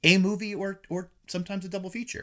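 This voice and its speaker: A man with a bright, sharp tone in a very clean recording over a silent background. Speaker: film critic. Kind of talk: casual chat. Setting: in-person recording at home.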